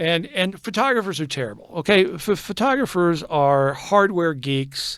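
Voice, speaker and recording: A man talks at a high pitch and a moderate pace, his pitch swinging very widely with hardly any pauses, on a very clean recording with a silent background. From Texas. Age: 60s. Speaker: photographer and digital artist. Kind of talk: casual interview. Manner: halting, many repeats and fillers.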